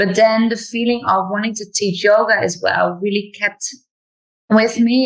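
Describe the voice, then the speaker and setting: A woman speaks at a fairly slow pace with a non-native accent. Her intonation stays fairly even. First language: not English. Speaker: yoga teacher and English teacher. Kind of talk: interview.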